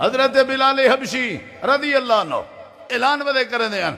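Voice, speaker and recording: A man speaks in a passionate tone. Noticeable background noise can be heard behind him. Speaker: Islamic preacher and Quran reciter. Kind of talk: Islamic sermon (bayan) to a live audience. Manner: passionate, preaching, storytelling.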